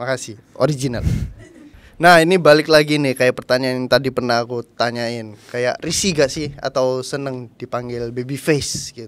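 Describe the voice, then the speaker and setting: A man with a slight East Javanese accent, medium pitch, ordinary pitch variation, a moderate pace and big swings in loudness. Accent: East Javanese medok accent, slight. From Indonesia, Surabaya (East Java). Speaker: host, influencer. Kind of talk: casual chat.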